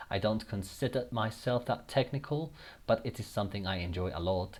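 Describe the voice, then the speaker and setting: At a moderate pace, a man speaks fairly low with ordinary pitch variation on a very clean recording with a silent background. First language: Spanish. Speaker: gaming YouTuber. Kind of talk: casual gameplay commentary. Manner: halting, with repeated words.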